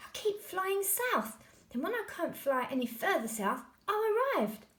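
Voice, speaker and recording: In a put-on character voice, a woman cackles with a shrill, extremely high pitch, very wide pitch swings and a moderate pace. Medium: read story. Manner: blunt, cackling.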